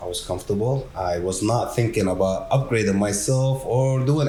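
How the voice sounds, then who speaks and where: With a non-native accent and lively intonation, a man of medium pitch speaks at a moderate pace in a room with audible echo. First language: not English. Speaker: technician manager at a garage door company. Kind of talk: casual podcast conversation.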